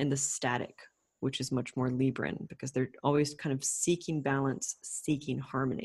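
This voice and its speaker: A woman with a North American accent at a moderate pace against a quiet background. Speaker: astrologer. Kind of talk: casual chat.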